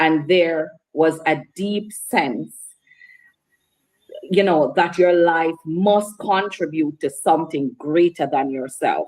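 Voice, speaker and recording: A very slow pace with ordinary pitch variation. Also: woman, fairly low pitch for a woman. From Jamaica, Hanover, rural. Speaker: author and minister. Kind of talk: interview. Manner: formal.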